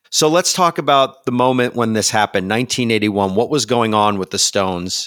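Speaking at a medium pitch in an unremarkable speaking voice, a man goes at a fairly quick pace with hardly any pauses and lively intonation, in a dry, close sound with no echo. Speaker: podcast host. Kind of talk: casual interview.

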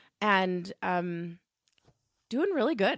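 In a very clean recording with a silent background and a dry, close sound with no echo, a woman speaks at a very slow pace with very wide pitch swings. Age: 40s. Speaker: pharmacist and bereaved mother. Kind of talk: personal testimony in interview.

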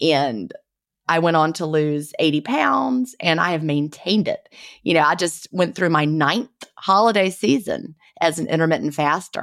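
A woman speaks in a Southern US accent with a fairly low pitch and lively intonation at a moderate pace. The recording is very clean, with a silent background. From US South. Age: 50s. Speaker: author and retired teacher, podcast host.

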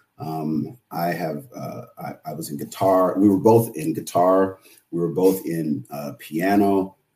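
A man's very deep, low, dark and mellow voice in an American accent, at a fairly slow pace, with ordinary pitch variation and big swings in loudness. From San Jose, California. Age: 40s. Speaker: financial literacy educator. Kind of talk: casual interview.

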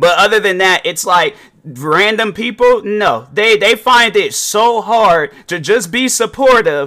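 A man's high-pitched, raised and projected voice. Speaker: podcast host and reaction video creator. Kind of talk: casual, slangy. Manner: naturally loud.

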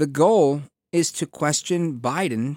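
A man's fairly high voice with lively intonation, dry and close with no echo, on a very clean recording with a silent background. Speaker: political talk radio host. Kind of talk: talk radio commentary. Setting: studio. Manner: staccato delivery.

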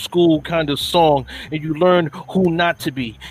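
The speaker has a New York accent. Noticeable background noise runs under the voice. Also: man. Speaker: spoken word poet. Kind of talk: spoken word performance.

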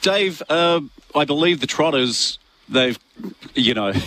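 The voice has an Australian accent. Its tone is bright and sharp. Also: man.

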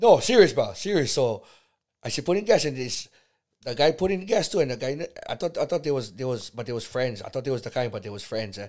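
At a very fast pace, a man talks in a medium pitch with very wide pitch swings and big swings in loudness. The recording is very clean, with a silent background. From Hawaii, Kauai. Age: 50s. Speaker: host's father, first-time podcast guest. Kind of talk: casual chat. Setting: home bedroom.

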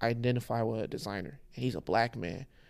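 A man with an American accent talks in a normal speaking voice at a medium pitch and moderate pace. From Houston, Texas (Nigerian parents). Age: 30s. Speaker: fashion designer. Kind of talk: casual chat.

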